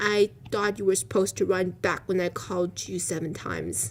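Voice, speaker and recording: A woman's put-on character voice at medium pitch and moderate pace, with clear background noise. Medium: read story. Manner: casual, cheeky.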